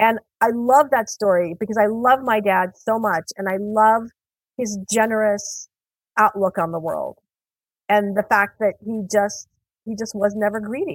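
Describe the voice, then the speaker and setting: A woman with an American accent talks at a fairly slow pace and a fairly high pitch, her intonation fairly even, in a dry, close sound with no echo. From Iran, raised in the US. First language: Persian. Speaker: author. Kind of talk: interview.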